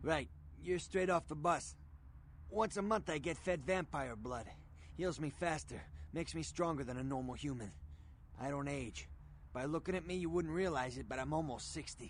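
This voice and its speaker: A man puts on a gruff character voice at a fairly high pitch, speaking at a moderate pace with long, frequent pauses over clear background noise. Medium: video game. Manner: gruff, coarse.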